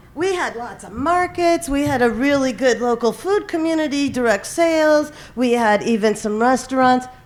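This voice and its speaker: A woman with an American accent, high pitch and lively intonation, moderate pace with hardly any pauses, big swings in loudness, and noticeable background noise. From Michigan. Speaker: farm stop organizer. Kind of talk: conference presentation.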